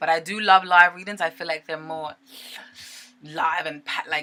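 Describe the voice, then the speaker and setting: The speech has ordinary pitch variation against noticeable background noise. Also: woman. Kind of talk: tarot reading monologue. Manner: fast.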